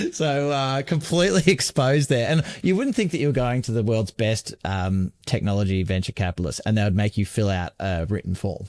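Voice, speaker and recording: With an Australian accent, a man talks at a fairly quick pace with hardly any pauses and very wide pitch swings, in a dry, close sound with no echo. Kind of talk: casual podcast conversation.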